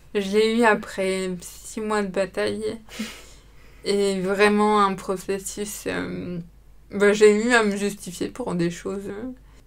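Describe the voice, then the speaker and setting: A woman's very slow, monotone, flat delivery with big swings in loudness and audible room echo. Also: medium pitch for a woman. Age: 20s. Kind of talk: testimony. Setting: studio.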